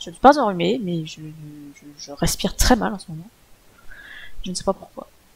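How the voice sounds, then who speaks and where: Using a put-on, nasal character voice, a woman at a medium pitch speaks at a fairly quick pace with lively intonation, big swings in loudness and long, frequent pauses. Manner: labored breathing.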